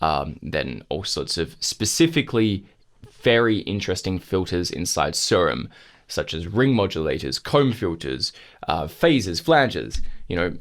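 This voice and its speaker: Very deep, low pitch and vocal fry mark this man's voice, with very wide pitch swings. He speaks at a fairly slow pace on a very clean recording with a silent background. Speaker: music production tutor. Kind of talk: tutorial. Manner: casual, with many fillers.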